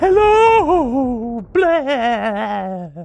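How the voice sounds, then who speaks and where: A female-sounding put-on character voice rises to a high pitch and swings very widely in pitch. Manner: spooky.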